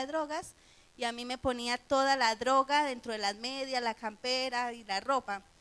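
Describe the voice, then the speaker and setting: A woman with a Colombian accent, high-pitched with a bright, sharp tone, at a moderate pace and fairly even intonation. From Colombia, Medellín. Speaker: missionary. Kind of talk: testimony.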